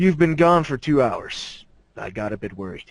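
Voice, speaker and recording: In a put-on character voice, a man talks at a moderate pace with a fairly high pitch. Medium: read story. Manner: gruff, understated.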